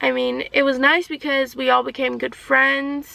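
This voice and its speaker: A soft-spoken woman. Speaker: vlogger and early childhood educator. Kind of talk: casual Q&A vlog. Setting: backseat of a car.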